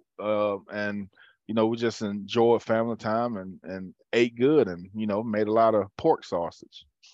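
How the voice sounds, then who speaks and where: Speaking with a Southern US accent, a man talks fairly slowly at a fairly low pitch. His intonation is monotone and flat, in a dry, close sound with no echo. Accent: Southern US (Georgia). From US South, rural Georgia (south of Atlanta). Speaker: former college football player. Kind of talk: casual chat. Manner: halting, many fillers and repeats.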